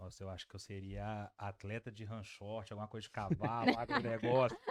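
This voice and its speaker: With an ordinary speaking voice, a man talks at a fairly quick pace and fairly low pitch, his intonation fairly even but his loudness swinging widely. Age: 30s. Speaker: business lawyer, law intern association president. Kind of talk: casual interview. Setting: studio.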